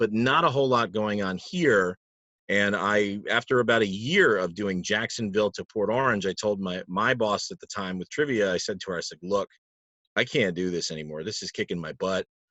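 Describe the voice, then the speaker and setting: In an ordinary speaking voice, a man with an American accent talks at a fairly quick pace and a fairly low pitch. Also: ordinary pitch variation. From Palm Coast, Florida. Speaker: trivia host and announcer (guest). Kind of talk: casual interview answer, conversational storytelling.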